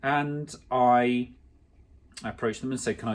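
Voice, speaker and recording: Someone speaks with an English accent on a very clean recording with a silent background. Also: man. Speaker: clothing brand founder. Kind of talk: personal vlog monologue. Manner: fast; halting, many fillers.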